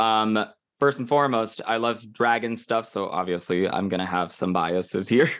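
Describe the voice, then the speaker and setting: An ordinary speaking voice, with ordinary pitch variation, moves at a moderate pace. The background is quiet. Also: man, medium pitch for a man. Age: 40s. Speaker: anime podcast co-host. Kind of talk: casual chat.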